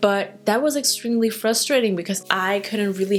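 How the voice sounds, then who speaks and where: A woman speaks at medium pitch and a moderate pace with ordinary pitch variation. Noticeable background noise runs beneath her voice. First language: Dutch. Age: 20s. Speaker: hair care influencer, trichologist. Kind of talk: casual vlog talk to camera.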